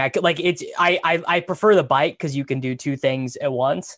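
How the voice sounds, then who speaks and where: In a very clean recording with a silent background, a man with an American accent speaks in a normal speaking voice, fairly high in pitch, with ordinary pitch variation. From Kansas. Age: 20s. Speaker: podcast host. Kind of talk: casual chat.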